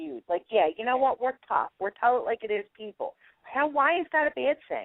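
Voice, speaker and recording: In a Philadelphia accent, a woman speaks at a moderate pace. Her pitch swings very widely. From South Philadelphia. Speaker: cooking show contestant. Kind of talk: radio interview.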